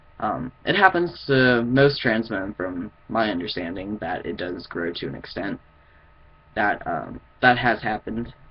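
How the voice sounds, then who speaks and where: This man has a fairly low pitch and lively intonation. He speaks at a fairly slow pace. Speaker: vlogger. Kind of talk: casual video update. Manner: halting.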